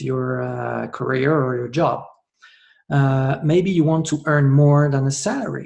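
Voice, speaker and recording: A man with a French accent speaks in a fairly high pitch, somewhat breathy. His pace is fairly slow and his intonation fairly even. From France. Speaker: network marketer. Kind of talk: sales pitch. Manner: hesitant, many filler sounds.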